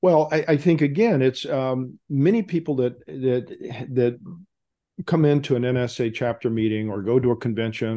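In an American accent, a man with a medium-pitched voice and a dark, mellow tone speaks with lively intonation against a quiet background. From Texas. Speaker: retired veterinarian. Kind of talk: casual conversation. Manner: halting, stutters with blocks.

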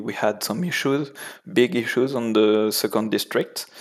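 The speaker talks at a fairly slow pace with a French accent. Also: man. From France. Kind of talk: casual chat. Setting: video call. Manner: halting.

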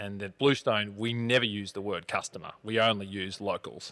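In an Australian accent, a man with a fairly low pitch and a bright, sharp tone speaks at a moderate pace with fairly even intonation. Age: 30s. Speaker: coffee company founder and CEO. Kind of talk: casual interview.

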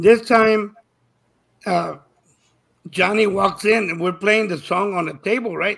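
Speaking at a fairly slow pace, a man uses a high pitch and fairly even intonation. He leaves long, frequent pauses. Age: 70s. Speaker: touring musician. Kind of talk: casual chat. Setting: video call.

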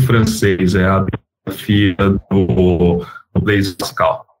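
A man's fairly low voice at a very slow pace. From Brazil, Campinas area (São Paulo state). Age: 40s. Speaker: startup founder and CEO. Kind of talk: interview.

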